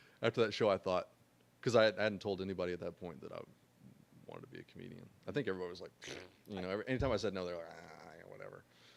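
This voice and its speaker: A man with a fairly low pitch talks at a very fast pace, using ordinary pitch variation and long, frequent pauses. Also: big swings in loudness. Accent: American. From Oklahoma City, US. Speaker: comedy podcast host. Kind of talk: casual chat.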